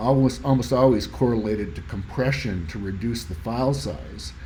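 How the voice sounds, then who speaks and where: Lively intonation marks this man's speech at a moderate pace. Room echo is audible. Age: 60s. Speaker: audio hobbyist YouTuber. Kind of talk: tutorial presentation. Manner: casual, halting with fillers.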